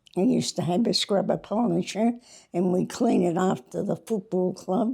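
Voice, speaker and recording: At a moderate pace, a woman with a dark, mellow tone and vocal fry speaks at medium pitch, with ordinary pitch variation and very even loudness. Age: 80s+. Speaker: retired cricket club scorer and team manager. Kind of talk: casual interview. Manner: halting.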